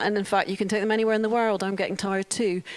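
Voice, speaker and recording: A woman with a Scottish accent. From Scotland. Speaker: open technology organisation CEO. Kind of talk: conference talk.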